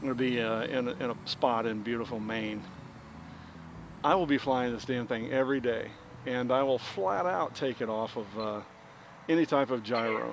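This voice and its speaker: The man speaks at medium pitch and a moderate pace, with ordinary pitch variation. He leaves long, frequent pauses. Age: 60s. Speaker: RC plane hobbyist vlogger. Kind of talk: casual vlog chat while flying. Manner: halting, many fillers and repeats.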